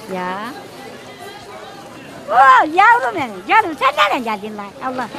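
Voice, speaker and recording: A woman's raised, projected voice with very wide pitch swings, in a dry sound with no echo, over clear music in the background. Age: 70s. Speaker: market vendor. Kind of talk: street interview answer. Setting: outdoors. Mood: warm, cheerful, affectionate. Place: market. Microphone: phone near.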